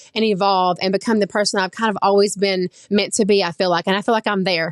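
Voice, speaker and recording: A woman speaks at a very fast pace with medium pitch and monotone, flat intonation, the sound dry and close with no echo. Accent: Oklahoma. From Oklahoma. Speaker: social media influencer. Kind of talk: interview. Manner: casual, conversational.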